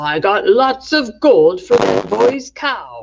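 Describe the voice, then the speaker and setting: In a put-on character voice, the speaker goes at a very slow pace with a fairly high pitch. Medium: read story. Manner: shouting, menacing.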